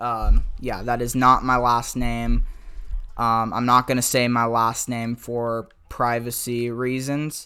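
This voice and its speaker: With a bright, sharp tone, a man speaks at medium pitch and a very slow pace. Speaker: gaming YouTuber. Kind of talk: gameplay tutorial. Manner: halting, stuttering; casual, filler-heavy.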